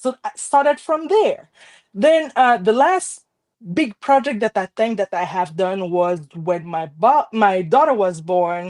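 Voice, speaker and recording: With a French Caribbean accent, a woman speaks at a fairly slow pace with very wide pitch swings in a dry, close sound with no echo. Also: medium pitch for a woman. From Haiti, Port-au-Prince. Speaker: card maker. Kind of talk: casual chat.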